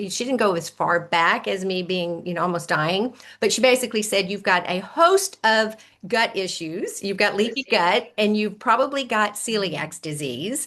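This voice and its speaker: With an American accent, a woman speaks at a moderate pace in a bright, sharp, medium-pitched voice with lively intonation. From US South. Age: 60s. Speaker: health coach. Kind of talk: interview testimony. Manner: animated.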